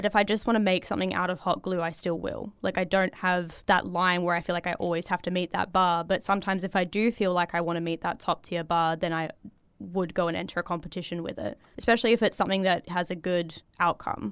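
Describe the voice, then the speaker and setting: Speaking very fast with hardly any pauses, a woman uses an Australian accent and a fairly low pitch with fairly even intonation. The recording is very clean, with a silent background. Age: 20s. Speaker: cosplayer. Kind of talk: casual chat.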